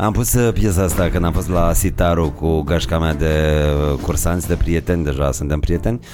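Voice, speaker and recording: Over music in the background, a man with a very deep, low pitch speaks at a moderate pace, his loudness very even and his pitch variation ordinary. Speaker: podcast host. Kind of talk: casual chat.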